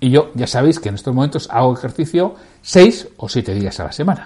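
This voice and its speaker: A man's voice swings very widely in pitch and carries vocal fry. He keeps a moderate pace. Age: 60s. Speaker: podcast host, sales leadership coach. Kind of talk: casual solo podcast talk.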